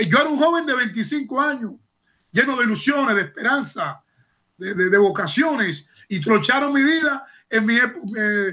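A man's raised, projected voice, extremely high in pitch, bright and sharp in tone, lively in intonation and moderate in pace, over a quiet background. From Cuba. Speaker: former political prisoner and human rights activist. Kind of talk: news interview testimony. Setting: remote video link. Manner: halting with repetitions; impassioned. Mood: indignant, emotional. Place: home room. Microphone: webcam.

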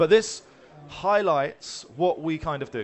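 Light background noise sits behind the speaker. He is a man with a high-pitched voice. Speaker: conference speaker, head of customer success. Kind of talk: business presentation. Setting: stage. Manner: fast talker. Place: hall.

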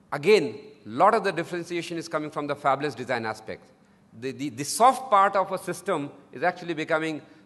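Fairly quick speech from a man. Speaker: speaker. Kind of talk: conference talk. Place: hall. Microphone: podium.

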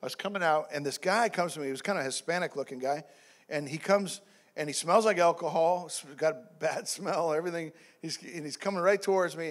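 Very fast and high-pitched, a man speaks with ordinary pitch variation. His loudness swings a lot. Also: quiet background. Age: 50s. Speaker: pastor. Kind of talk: sermon. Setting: church. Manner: halting, many fillers and repeats. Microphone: handheld.

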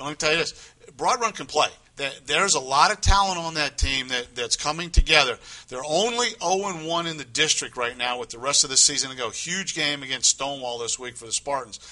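A man speaks in a normal speaking voice at a fairly high pitch and a fairly quick pace. His intonation is lively and his loudness swings widely. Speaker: sports co-host. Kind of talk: casual sports talk. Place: studio. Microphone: lapel.

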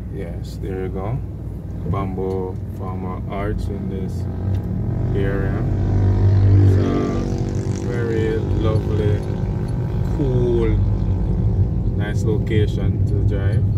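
Music plays in the background as a voice with a dry sound and no echo moves at a very slow pace with long, frequent pauses. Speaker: vlogger driving. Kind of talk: casual vlog commentary. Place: car. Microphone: phone near.

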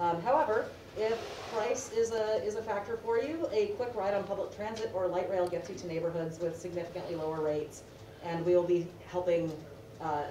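Noticeable background noise behind a woman's voice, at a moderate speed and with ordinary pitch variation. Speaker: presenter. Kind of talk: panel presentation. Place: meeting room. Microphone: camera far.

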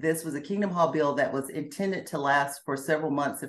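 In an American accent, a woman speaks at a very deep, low pitch. Her pace is fairly quick, with ordinary pitch variation. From US South, Alabama and Georgia. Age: 50s. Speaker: former Jehovah's Witness. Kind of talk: interview, personal testimony. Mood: reflective, earnest. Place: home room. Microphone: video call.

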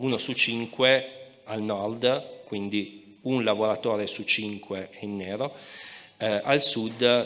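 Intonation stays fairly even as the man speaks. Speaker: historian; speaker. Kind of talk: panel debate. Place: stage. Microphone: handheld.

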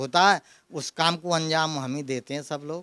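Here a man speaks at a moderate pace in a high pitch. The sound is dry with no echo, and the background is quiet. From Mathura, Braj region, India; India. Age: 70s. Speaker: deity costume tailor. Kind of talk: interview. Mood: friendly, proud, smiling. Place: home room. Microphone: handheld.

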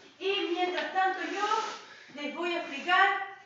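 A woman talks in an extremely high voice. There is strong room echo and light background noise. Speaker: fitness instructor. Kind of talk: tutorial. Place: empty room. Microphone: camera far.

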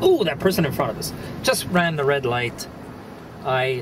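A man at a moderate pace with lively intonation and noticeable background noise. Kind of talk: comic road rant monologue. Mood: mock-angry, humorous. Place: car. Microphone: camera far.

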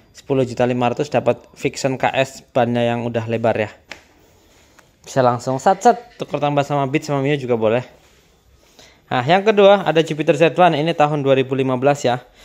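Ordinary pitch variation in a medium-pitched male voice. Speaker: used motorcycle dealer. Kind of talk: street seller pitch, rapid-fire bargain-price spiel with upbeat calls to come buy. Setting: outdoors at motorcycle lot, filming video. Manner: persuasive, repetitive sales patter. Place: shop. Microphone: phone near.

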